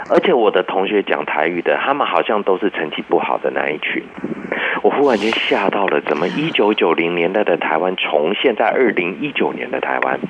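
Through noticeable background noise, a fairly low-pitched man talks at a fairly quick pace with very wide pitch swings. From Taiwan. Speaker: psychology professor. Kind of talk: interview.

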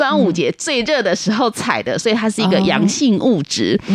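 A woman's voice with very wide pitch swings at a moderate pace, over noticeable background noise. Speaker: Chinese medicine practitioner. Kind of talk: interview. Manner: hesitant, many fillers.

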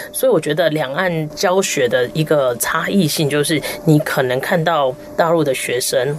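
Noticeable background noise surrounds a woman whose voice is very deep and low, with ordinary pitch variation at a moderate pace. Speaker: erhu player and music professor. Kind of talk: radio interview.

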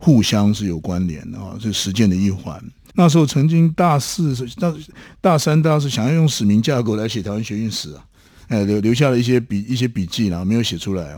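Fairly low and dark in tone, a man's mellow voice moves at a fairly quick pace with lively intonation. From Taiwan (Taoyuan, Taipei). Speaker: academic researcher. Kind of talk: interview, reflective storytelling.

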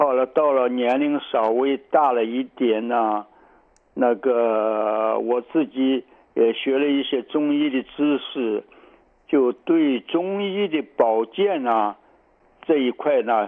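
The speaker is a man with a medium pitch. He speaks at a very slow pace. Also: ordinary pitch variation. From China, southern Shandong. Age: 80s+. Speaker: traditional Chinese medicine doctor. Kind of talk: radio interview. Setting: phone call. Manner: halting, many filler sounds.

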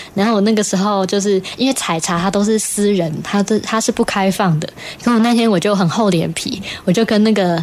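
A woman's fairly quick speech against noticeable background noise. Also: medium pitch for a woman. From Taiwan, Puli, Nantou. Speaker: singer and electronic musician. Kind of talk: interview, casual chat. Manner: animated.

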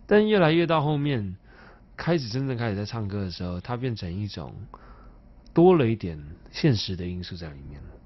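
A fairly quick delivery in a Taiwanese accent, with very wide pitch swings, big swings in loudness, long, frequent pauses and audible room echo. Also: man, fairly low pitch for a man. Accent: Taiwanese Mandarin. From Taipei, Taiwan (Neihu). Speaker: singer-songwriter. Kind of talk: interview.

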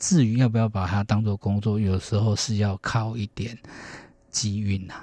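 A man speaks at a moderate pace. His fairly low voice has a dark, mellow tone. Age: 40s. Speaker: harpist. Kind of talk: radio interview.

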